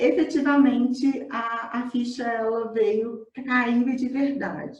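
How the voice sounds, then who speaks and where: There is audible room echo around this woman as she talks. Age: 30s. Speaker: coach. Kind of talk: testimony. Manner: halting.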